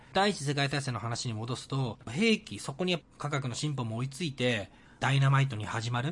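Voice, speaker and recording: The speaker is a man with a somewhat breathy voice. His intonation is lively. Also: medium pitch for a man, moderate pace. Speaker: podcast host. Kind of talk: casual solo podcast monologue.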